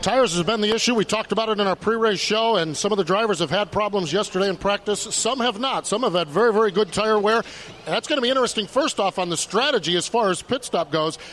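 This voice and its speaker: Against noticeable background noise, a high-pitched man races along very fast with hardly any pauses, ordinary pitch variation and very even loudness. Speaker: pit road reporter. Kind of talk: live reporting with interviews.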